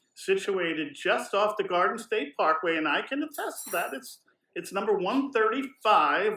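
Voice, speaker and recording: With an American accent, a man uses a raised, projected voice with a bright, sharp tone, very wide pitch swings and a fairly slow pace. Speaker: podcast co-host. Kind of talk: casual podcast interview; reading a guest bio and hotel info from notes. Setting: on location in a hotel.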